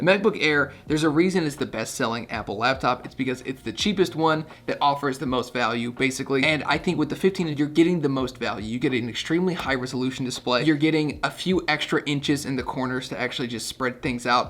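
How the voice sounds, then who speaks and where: An energetic man talks at a very fast pace with hardly any pauses and a fairly high pitch. His pitch variation is ordinary, and noticeable background noise can be heard. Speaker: tech reviewer. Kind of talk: product review to camera. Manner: casual, energetic.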